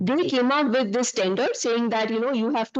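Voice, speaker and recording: A woman's voice, its pitch varying in an ordinary way, comes through over a quiet background. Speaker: urban planning consultant. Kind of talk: panel presentation. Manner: loud.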